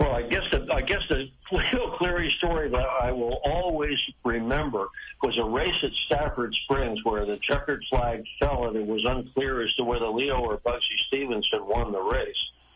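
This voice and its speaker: A man talks at a moderate pace while noticeable background noise fills the recording. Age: 80s+. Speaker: retired motorsports TV pit reporter. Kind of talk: interview.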